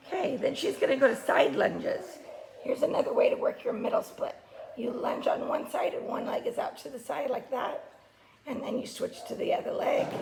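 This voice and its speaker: Speech delivered fairly quickly is accompanied by noticeable background noise. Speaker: gymnastics coach. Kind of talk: tutorial. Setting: home video recording.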